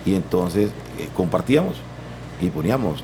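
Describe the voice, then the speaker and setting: A man with a very deep, low voice speaks with lively intonation. Noticeable background noise runs underneath. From Costa Rica, Guanacaste (Santa Cruz). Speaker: singer-songwriter and music producer. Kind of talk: interview.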